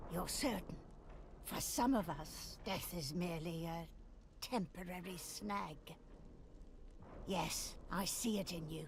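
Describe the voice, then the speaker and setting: A woman uses a put-on character voice, fairly low in pitch, at a fairly slow pace. Long, frequent pauses come through over clear background noise. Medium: actual play. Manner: intimate, haunting, speaks into the mind.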